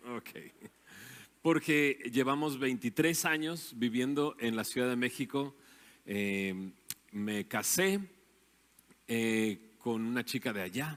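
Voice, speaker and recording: On a very clean recording with a silent background, a man speaks very slowly at medium pitch with lively intonation. Long, frequent pauses break up his speech. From Mexico, Monterrey area (Nuevo León). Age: 40s. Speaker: invited speaker. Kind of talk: talk to church audience. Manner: conversational, with hesitations.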